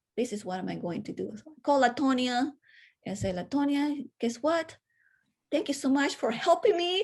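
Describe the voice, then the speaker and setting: A woman speaks high for a woman at a moderate pace. Her pitch swings very widely and her loudness rises and falls a lot. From Venezuela, Caracas. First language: Spanish. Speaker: public health educator and podcaster. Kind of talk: interview conversation.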